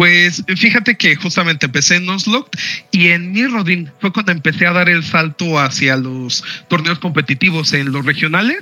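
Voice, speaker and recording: High male voice over noticeable background noise, moderate in pace and ordinary in pitch variation. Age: 30s. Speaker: tournament-winning card game player. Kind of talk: interview.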